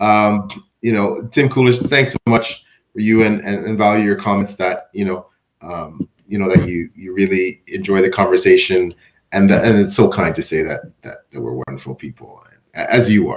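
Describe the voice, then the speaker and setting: A man with a Canadian accent uses a plain, everyday voice at a fairly low pitch, talking at a moderate pace with ordinary pitch variation and big swings in loudness. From Canada. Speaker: interview host. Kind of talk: interview.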